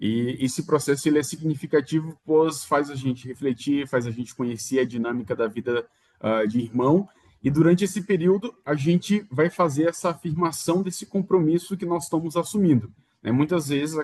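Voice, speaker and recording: Lively intonation marks this man's speech at a fairly high pitch. He keeps a moderate pace. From Maranhão, northeastern Brazil. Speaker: religious brother. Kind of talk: interview. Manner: halting, with fillers.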